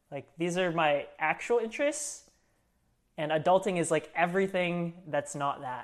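A man with an American accent speaks at a moderate pace in a high voice, his pitch varying in an ordinary way. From California, US. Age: 30s. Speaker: entrepreneur, music producer. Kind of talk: casual chat.

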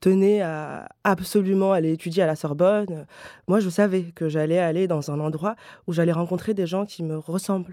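A woman's fairly low voice at a moderate pace, fairly even in intonation, on a very clean recording with a silent background. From Paris, 20th arrondissement. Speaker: novelist. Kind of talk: interview. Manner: halting, many repetitions and fillers.

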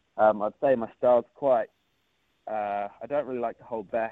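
A man talks with a New Zealand accent at a fairly quick pace. His medium pitch carries fairly even intonation. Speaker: surfer, national champion. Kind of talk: casual interview.

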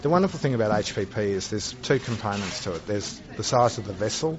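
Someone with an Australian accent talks at a fairly quick pace over noticeable background noise. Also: man. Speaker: juice company CEO. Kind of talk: interview. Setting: trade congress.

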